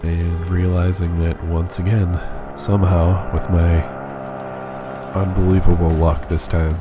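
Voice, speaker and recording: A man's calm, fairly even voice at a fairly slow pace, with music in the background. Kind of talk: gameplay commentary. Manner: soft-spoken, calm.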